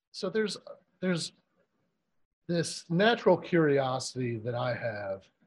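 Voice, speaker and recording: Pitch swings very widely here. The delivery is somewhat breathy. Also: man. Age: 40s. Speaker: podcast host. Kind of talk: interview. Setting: remote call.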